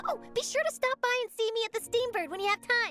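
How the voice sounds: A woman's put-on character voice, extremely high and bright, sharp in tone, with lively intonation, a fast pace and faint music in the background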